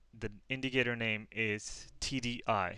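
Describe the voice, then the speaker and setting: A man with a non-native accent speaks at a medium pitch in a bright, sharp tone on a very clean recording with a silent background. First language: not English. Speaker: forex trader teaching a strategy. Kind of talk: tutorial. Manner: halting, many fillers.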